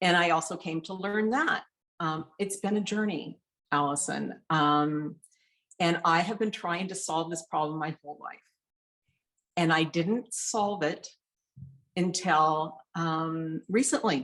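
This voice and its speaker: A woman's fairly low voice with ordinary pitch variation, a fairly slow pace, and long, frequent pauses. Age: 60s. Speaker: interview guest sharing weight loss story. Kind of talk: casual interview chat. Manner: halting, many fillers.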